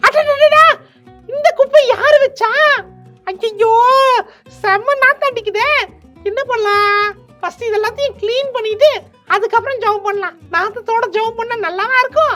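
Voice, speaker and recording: Faint music plays behind a cartoonish character voice pitched extremely high and delivered at a fairly slow pace. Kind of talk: children's puppet show dialogue.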